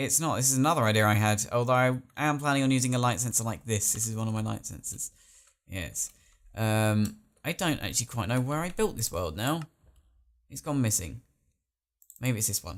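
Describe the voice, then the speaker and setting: Speaking fairly quickly with long, frequent pauses, a man with an English accent uses a medium pitch and lively intonation. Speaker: gaming video creator. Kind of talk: gameplay commentary. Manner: animated.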